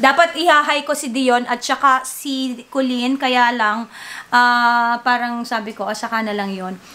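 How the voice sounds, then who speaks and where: Ordinary pitch variation at a fairly slow pace. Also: woman, high pitch for a woman. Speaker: vlogger and singer. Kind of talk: casual vlog chat. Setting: at home.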